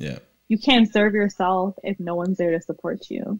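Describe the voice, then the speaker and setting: With ordinary pitch variation and a moderate pace, the woman talks while the background stays quiet. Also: dry sound with no echo. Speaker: podcast guest. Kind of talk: interview answer. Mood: upbeat, animated. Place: home room. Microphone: video call.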